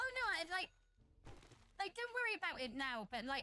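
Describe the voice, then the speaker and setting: A woman with an English accent speaks in a raised, projected voice. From southern England. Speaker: VTuber streamer. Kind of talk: casual game-stream chat. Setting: live stream. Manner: chatty, rambling with fillers.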